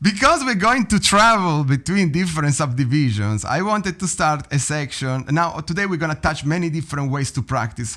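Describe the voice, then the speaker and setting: A man with an Italian accent talks fairly quickly with hardly any pauses, in a bright, sharp voice at a fairly high pitch. His intonation is lively, and the recording is very clean against a silent background. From Italy. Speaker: drum teacher. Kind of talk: tutorial.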